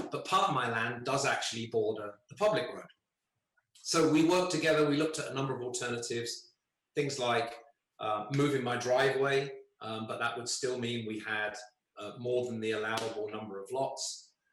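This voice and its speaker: A man with a British accent and a medium-pitched voice talks at a fairly quick pace. His pitch varies in an ordinary way, and there is audible room echo. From United Kingdom. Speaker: resident giving testimony at a public hearing. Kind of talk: public hearing statement. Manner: hesitant, many fillers.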